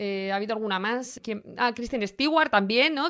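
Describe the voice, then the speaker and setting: Delivered with a Spanish accent, the speech moves at a moderate pace with ordinary pitch variation. The recording is very clean, with a silent background. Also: woman. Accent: Peninsular Spanish. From Spain, small town. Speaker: fashion podcast host. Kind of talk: casual chat.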